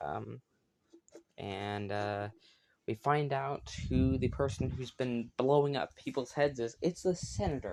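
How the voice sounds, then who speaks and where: Mumbling at a very slow pace, a man with a medium pitch keeps his intonation lively. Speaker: YouTuber reviewing TV shows. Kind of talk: casual solo video review. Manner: hesitant, many filler words.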